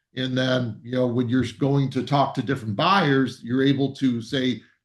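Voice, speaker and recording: A man talks at a moderate pace with an American accent. His pitch sits in the medium range. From US Midwest, Ann Arbor, Michigan. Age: 60s. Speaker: real estate agent. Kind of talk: presentation. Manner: halting.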